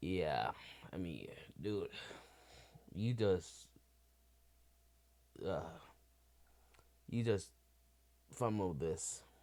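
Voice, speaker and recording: A man speaks with a very deep, low pitch and a dark, mellow tone, yet with lively intonation. His pace is very slow, broken by long, frequent pauses. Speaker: YouTube reaction streamer. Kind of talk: reaction commentary.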